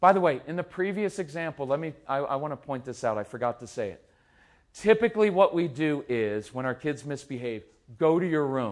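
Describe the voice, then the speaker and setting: On a very clean recording with a silent background, a man talks at a fairly quick pace and fairly high pitch, with an animated tone, lively intonation and big swings in loudness. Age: 50s. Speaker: parenting speaker. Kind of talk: live talk to audience.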